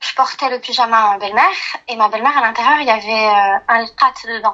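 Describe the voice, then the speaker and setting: A woman talks at a fairly quick rate with a fairly high pitch and fairly even intonation. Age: 30s. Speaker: caller. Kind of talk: personal testimony on a phone call. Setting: phone call, on speaker.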